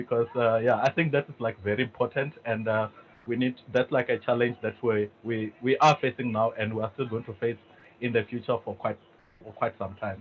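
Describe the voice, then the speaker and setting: At a moderate pace, a man with a South African accent speaks at a medium pitch. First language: Venda. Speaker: tech company executive, panelist. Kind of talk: webinar panel discussion. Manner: hesitant, many fillers.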